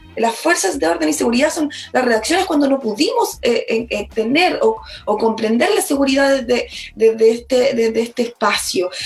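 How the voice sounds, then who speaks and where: This woman has a high pitch with very wide swings and speaks at a moderate pace. Her loudness stays very even, and there is noticeable background noise. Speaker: lawyer, constitutional convention candidate. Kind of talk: political interview. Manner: halting, repeats words.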